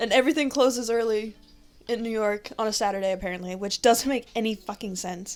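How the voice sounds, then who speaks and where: Someone talks at a very fast pace in an animated tone. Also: woman, fairly high pitch for a woman, ordinary pitch variation. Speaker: podcast co-host. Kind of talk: casual chat. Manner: loud.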